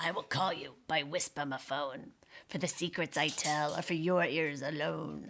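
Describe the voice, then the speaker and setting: A put-on, female-sounding character voice, nasal and middle-pitched, at a moderate pace. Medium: read story.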